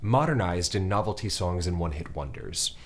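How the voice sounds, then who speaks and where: A man speaks at a moderate pace with a somewhat breathy voice. The recording is very clean, with a silent background. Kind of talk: casual chat; prepared monologue. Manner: slightly slurred.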